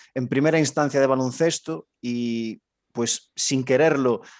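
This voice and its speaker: In a dry, close sound with no echo, a man with a plain, everyday voice speaks with ordinary pitch variation. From Galicia, Spain. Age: young. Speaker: basketball coach and fitness trainer. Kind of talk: casual interview. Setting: video call.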